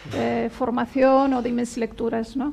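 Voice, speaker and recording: The voice has a dark, mellow tone and speaks with a Catalan accent. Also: woman. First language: Catalan (speaking Spanish). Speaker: poet. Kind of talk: interview at book presentation. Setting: bookshop event with audience.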